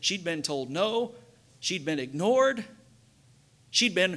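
With lively intonation, a man speaks in a high-pitched voice with a bright, sharp tone. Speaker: pastor. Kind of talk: sermon. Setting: church. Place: church. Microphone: headset.

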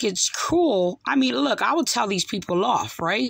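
A woman speaks at a fairly slow pace over a quiet background. The sound is dry, with no echo. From New Jersey, US. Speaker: online religious commentator. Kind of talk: video commentary. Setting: home recording, replaying video clips. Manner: halting, many fillers. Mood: upset, critical. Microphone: phone near.

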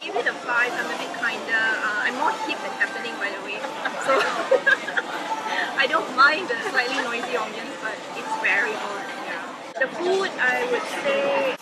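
Crowd noise fills the background as the speaker goes at a moderate pace with long, frequent pauses. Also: woman. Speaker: restaurant reviewer. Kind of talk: casual review chat. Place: bar. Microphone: camera far.

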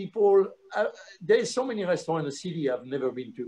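A man speaks with lively intonation and a French accent. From France, Lyon area. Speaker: chef and restaurant owner. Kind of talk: casual chat.

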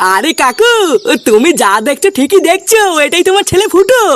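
A cartoonish character voice at extremely high pitch and moderate pace. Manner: confident, commanding.

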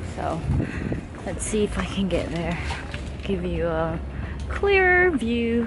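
Very slowly, a woman speaks over noticeable background noise. The sound is dry, with no echo. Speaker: vlogger. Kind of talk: casual vlog chat. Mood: amused, playful. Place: waterside. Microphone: phone near.

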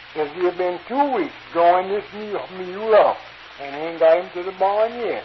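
Over noticeable background noise, a man speaks fairly slowly with a high pitch. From North Carolina. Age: 50s. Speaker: turpentine worker. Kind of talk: humorous folk tale. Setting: old field recording, poor sound.

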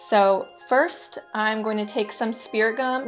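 There is light noise in the background as a woman talks. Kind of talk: tutorial. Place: home room.

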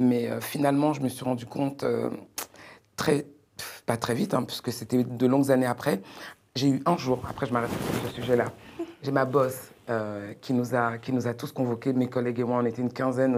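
At a moderate pace, a woman speaks in a very deep, low pitch, monotone and flat, with long, frequent pauses. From France, Beninese heritage. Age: 40s. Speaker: entrepreneur; guest. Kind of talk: panel discussion. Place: studio. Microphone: lapel.

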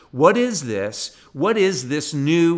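The background stays quiet while a man talks. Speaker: pastor. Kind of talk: sermon.

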